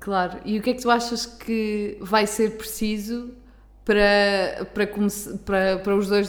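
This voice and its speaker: Female speech of medium pitch, moderately paced, in audible room echo. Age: 20s. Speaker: podcast host. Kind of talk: casual chat.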